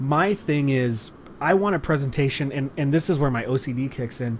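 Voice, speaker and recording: Speaking with a Californian accent, a man uses ordinary pitch variation. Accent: California. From Los Angeles, California. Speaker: wrestling stream commentator. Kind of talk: casual chat. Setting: live stream. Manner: halting.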